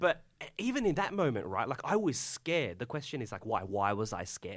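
A man with an Australian accent speaks at a very fast pace with lively intonation. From Tasmania, Australia. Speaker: college chaplain and pastor. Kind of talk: casual chat.

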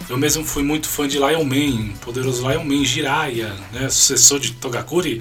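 A man's fairly high-pitched voice comes across with noticeable background noise behind it. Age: 40s. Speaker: podcast host. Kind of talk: casual monologue.

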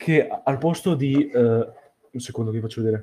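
The voice is somewhat breathy and the pace fairly slow. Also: man. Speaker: podcast interviewer. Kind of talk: casual interview chat. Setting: online call.

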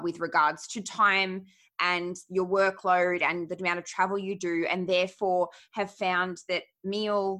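A woman with an Australian accent speaks at a medium pitch in a bright, sharp tone. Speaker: dietitian and podcast host. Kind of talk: casual interview chat.

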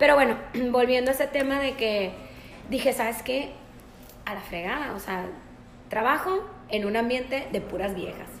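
A woman speaks at a high pitch with ordinary pitch variation and long, frequent pauses, in a room with audible echo and noticeable background noise. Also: moderate pace. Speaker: podcast host. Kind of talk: casual chat.

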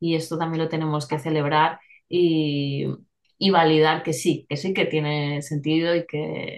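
A woman speaks in a very deep, low voice with monotone, flat intonation. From Spain, small rural town. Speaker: journalist and therapist. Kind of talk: interview. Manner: hesitant, many fillers and repetitions.

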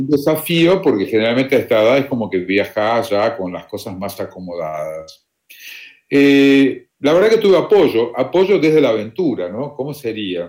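A man at a moderate pace, medium in pitch, with very wide pitch swings. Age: 60s. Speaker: retired volunteer traveler. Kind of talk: interview. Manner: halting, repeats words.

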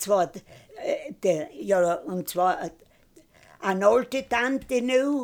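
In a strong East Tyrolean accent, a woman with a fairly high pitch speaks very slowly and with lively intonation, leaving long, frequent pauses. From East Tyrol, Austria. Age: 90s. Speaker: retired mountain farmer and conservation activist. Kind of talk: life story interview. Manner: halting.

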